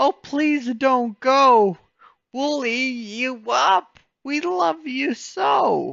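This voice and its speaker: A put-on character voice speaks very slowly at a high pitch. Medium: read story.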